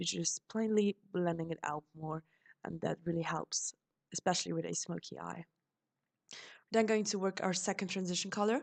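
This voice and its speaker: A woman with a German accent speaks at a fairly low pitch and a moderate pace, with ordinary pitch variation. Long, frequent pauses break up her speech, and the sound is dry and close with no echo. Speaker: beauty vlogger. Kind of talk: makeup tutorial voiceover. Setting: voiceover recording.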